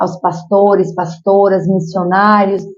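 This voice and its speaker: This is a woman speaking. Her pitch is medium. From Piauí, Brazil. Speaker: social worker and mayoral candidate. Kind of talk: interview. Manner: animated.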